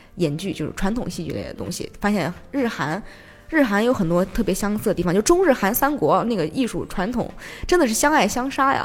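A woman talks at a fairly quick pace, her medium pitch swinging very widely up and down. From Xi'an, China. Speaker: theatre project manager. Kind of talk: casual interview chat. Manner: animated, energetic; laughs often.

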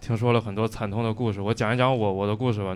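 Very fast speech comes from a man at a medium pitch in a very clean recording with a silent background. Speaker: stand-up comedian. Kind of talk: stand-up set. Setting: stage with audience.

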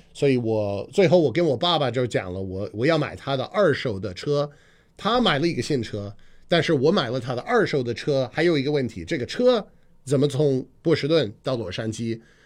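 Against a quiet background, a man speaks at a moderate pace. His pitch is medium and his intonation lively. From US Northeast, Boston. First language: English (speaking Chinese). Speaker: radio host and comedian. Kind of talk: casual chat. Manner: frequent fillers and hesitations.

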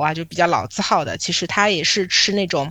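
Fairly quick speech from a woman at a medium pitch. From Shanghai, China. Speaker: podcast host and PR agency owner. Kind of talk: casual chat.

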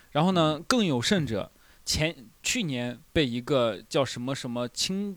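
A man's fairly high voice, an unremarkable speaking voice, with lively intonation at a fairly slow pace on a very clean recording with a silent background. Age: 20s. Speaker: stand-up comedian and podcast host. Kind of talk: casual chat. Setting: live recording with small audience.

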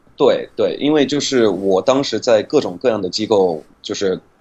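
A man talks at a fairly slow pace with a slight non-native accent and ordinary pitch variation. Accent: near-native Mandarin. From United States. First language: English (speaking Chinese). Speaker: English pronunciation teacher. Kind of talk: interview about language learning.

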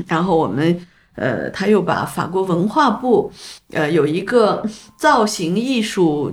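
Speaking at a very slow pace with very wide pitch swings and vocal fry, a woman is heard in a very clean recording with a silent background. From northern China, Taiyuan, Shanxi. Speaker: photography festival founder and art director. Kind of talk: casual interview. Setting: in person over tea. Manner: halting, many filler sounds.

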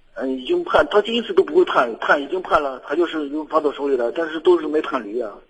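Talking very fast and hardly pausing, a man uses lively intonation at a fairly high pitch. Noticeable background noise runs underneath. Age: young. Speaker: radio caller. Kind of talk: call-in advice conversation. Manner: halting.

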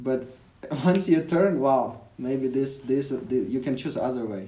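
A medium-pitched man at a moderate pace, with audible room echo. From Ukraine. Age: young. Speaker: digital nomad and language educator. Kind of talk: interview conversation. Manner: hesitant, frequent fillers.

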